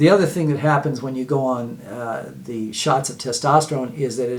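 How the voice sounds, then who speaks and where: Noticeable background noise sits behind a man of medium pitch. He talks at a fairly quick pace with ordinary pitch variation. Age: 60s. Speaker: health video host. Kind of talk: informal health talk to camera. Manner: halting, many fillers and repeats.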